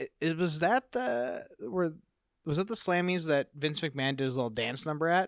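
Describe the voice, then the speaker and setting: A man with a plain, everyday voice speaks at a fairly high pitch and a moderate pace with lively intonation. The very clean recording has a silent background and a dry, close sound with no echo. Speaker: podcast host. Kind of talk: casual interview. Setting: in person.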